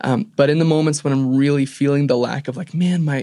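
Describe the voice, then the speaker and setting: Against a quiet background, a man with an ordinary speaking voice and a fairly high pitch talks at a fairly quick pace. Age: 20s. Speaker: podcast host. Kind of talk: casual chat.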